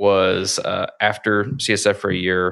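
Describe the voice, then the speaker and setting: Over a silent background in a very clean recording, a man speaks at a fairly low pitch with a bright, sharp tone. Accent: Kentucky. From Kentucky, rural Lawrenceburg. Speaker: business owner. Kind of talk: casual interview. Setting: studio.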